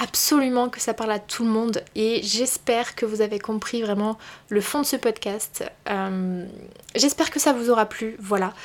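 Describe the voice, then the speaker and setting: A woman with a normal speaking voice talks at a fairly slow pace, her pitch fairly high and its variation ordinary. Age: 20s. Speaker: podcast host and career coach. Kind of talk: solo podcast monologue. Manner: casual, conversational.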